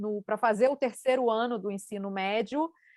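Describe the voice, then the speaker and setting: Heard in a dry, close recording with no echo, a woman speaks at a moderate pace with a fairly high pitch and ordinary pitch variation. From Brazil, Rio de Janeiro. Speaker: scientist. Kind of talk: panel talk.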